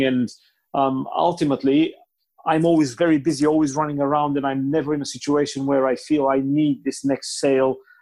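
A man with a Bulgarian accent at a very fast pace, fairly high pitch and fairly even intonation, over a quiet background. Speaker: car dealer. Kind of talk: casual interview chat.

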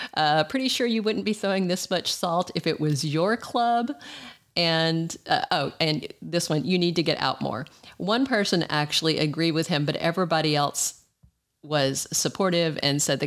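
A fairly low-pitched woman's voice with a Southern US accent and lively intonation. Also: moderate pace, very even loudness. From US South. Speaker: podcast host. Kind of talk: solo news commentary. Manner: animated.

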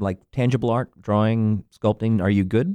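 A man's dark, mellow voice, recorded dry and close with no echo. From Central Florida. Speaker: actor and guest co-host. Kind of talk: casual chat. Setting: studio.

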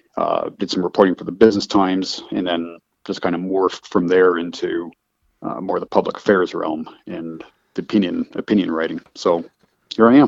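A man talks at a moderate pace with big swings in loudness. The sound is dry and close, with no echo. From Canada (Calgary, Alberta). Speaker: advocacy group director and political columnist. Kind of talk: interview. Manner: hesitant, many fillers.

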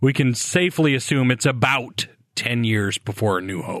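A man with a medium-pitched voice is heard in a dry, close sound with no echo. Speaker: podcast host. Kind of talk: casual chat.

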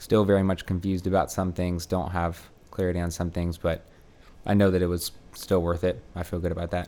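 Speaking in a monotone, flat intonation at a fairly quick pace, a man with an American accent has a very deep, low pitch and a dark, mellow tone. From US South, suburban Atlanta. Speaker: seminary student. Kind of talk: casual interview.

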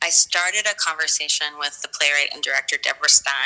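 Over music in the background, a woman speaks in a very deep, low pitch. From US East Coast, Philadelphia and Baltimore. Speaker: theater artist. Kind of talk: interview. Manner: halting.

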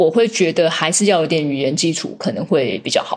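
This woman has an unremarkable speaking voice. She talks at a moderate pace with lively intonation. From Taiwan. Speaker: biotech commercial director. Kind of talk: interview.

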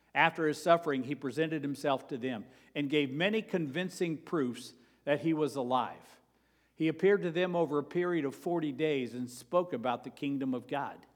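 Here a man speaks in a plain, everyday voice, fairly high in pitch. His pace is moderate and his pitch variation ordinary. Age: 60s. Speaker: pastor. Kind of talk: sermon. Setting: church.

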